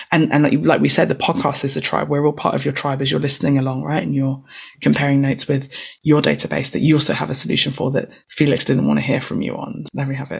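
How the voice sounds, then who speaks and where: A woman talks at a very fast pace in a London accent. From East London. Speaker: tech nonprofit founder and author. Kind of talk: interview conversation.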